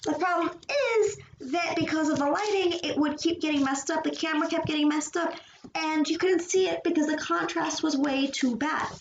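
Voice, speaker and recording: A woman's extremely high-pitched voice, fairly quick and fairly even in intonation, with audible room echo. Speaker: streamer and artist. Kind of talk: casual chat during live drawing stream. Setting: live stream with a laptop and camera.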